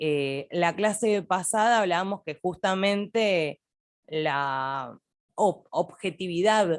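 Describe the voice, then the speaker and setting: Speaking with lively intonation at a very slow pace, a woman has a fairly low voice. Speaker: university lecturer. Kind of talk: lecture.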